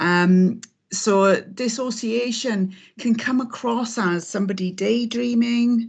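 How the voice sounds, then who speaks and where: In a quiet background, a woman speaks in a somewhat breathy voice with fairly even intonation. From South Wales (Aberdare, Rhondda Cynon Taf). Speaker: abuse survivor and trainer. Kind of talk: testimony. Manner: hesitant, many fillers.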